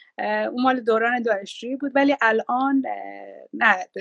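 This is an unremarkable speaking voice from a woman. She speaks at a moderate pace with ordinary pitch variation. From Iran. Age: 50s. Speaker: businesswoman and mother. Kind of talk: interview, casual chat. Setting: live video stream.

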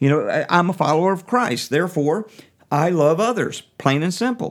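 The recording is very clean, with a silent background. A man talks at a fairly high pitch with lively intonation. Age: 50s. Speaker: prison music minister and podcast host. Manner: talkative, casual with filler words.

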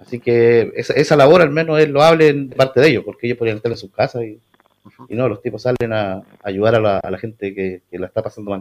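Speaking very fast, a man uses a medium pitch. That pitch shifts in an ordinary way. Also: big swings in loudness. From Puerto Varas, southern Chile. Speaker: neighbourhood community leader. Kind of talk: radio interview. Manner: halting.

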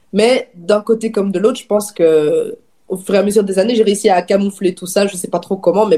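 A woman with a slight Belgian accent and a dark, mellow tone. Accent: slight, barely audible Belgian French. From Belgium, Namur region (Wallonia). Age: 20s. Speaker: magazine founder and editor. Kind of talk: casual chat.

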